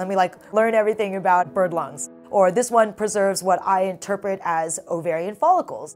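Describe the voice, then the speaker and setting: A woman's voice with ordinary pitch variation over faint music in the background. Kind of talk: interview answer. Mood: enthusiastic, animated. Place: office. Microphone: lapel.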